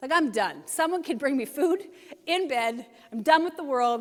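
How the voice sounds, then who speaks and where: A woman's high voice, lively in intonation, at a moderate pace. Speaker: pastor. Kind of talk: sermon.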